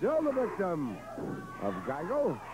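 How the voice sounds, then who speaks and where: A man talks with very wide pitch swings. Noticeable background noise runs behind him. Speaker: wrestling commentator. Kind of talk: live wrestling commentary, play-by-play. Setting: archive broadcast of a match. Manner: vivid, clipped blow-by-blow calls.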